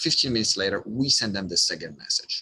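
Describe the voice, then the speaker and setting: With a strong non-native accent, a man speaks at medium pitch and a moderate pace, his tone bright and sharp and his intonation lively. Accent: thick non-native. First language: not English. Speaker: online business coach; marketing coach. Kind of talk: tutorial. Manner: halting, repeats words.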